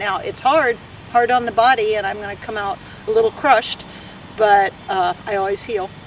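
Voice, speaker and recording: Noticeable background noise can be heard throughout. Over it, a woman with a fairly high pitch talks at a moderate speed. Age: 60s. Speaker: long-distance hiker. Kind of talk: interview.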